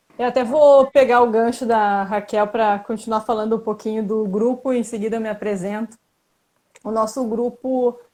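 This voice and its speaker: A woman's fairly high-pitched voice has a dark, mellow tone and fairly even intonation. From Brazil, Porto Alegre, Rio Grande do Sul. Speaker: Instagram group member co-hosting live. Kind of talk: casual live-stream chat.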